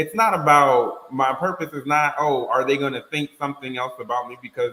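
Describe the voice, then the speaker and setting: The man has a fairly high pitch. He speaks at a fairly quick pace with ordinary pitch variation. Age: 30s. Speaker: podcast panelist. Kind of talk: casual chat. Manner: loud.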